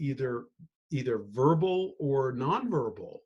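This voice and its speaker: A man's voice sits fairly high in pitch and sounds somewhat breathy. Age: 60s. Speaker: financial planner. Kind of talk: interview.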